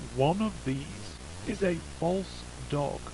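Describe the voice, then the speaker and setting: A man speaks with a British accent. Noticeable background noise sits behind him. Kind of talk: eerie public safety announcement.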